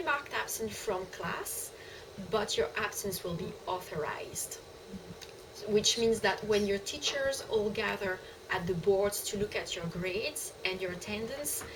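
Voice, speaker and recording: A woman with a French accent at a fairly slow pace, amid noticeable background noise. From France. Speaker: college staff. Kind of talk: casual chat. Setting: video call.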